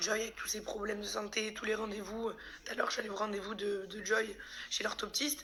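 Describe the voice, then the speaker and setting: A woman talks at a fairly quick pace with a fairly high pitch. Noticeable background noise and audible room echo surround her voice. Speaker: vlogger. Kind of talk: personal vlog. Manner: halting.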